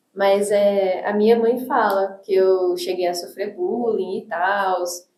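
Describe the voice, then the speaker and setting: The room gives off an audible echo. A woman's voice is heard in it. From Brazil (came from the US at age six). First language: English (speaking Portuguese). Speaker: teacher and church youth leader. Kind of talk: podcast interview.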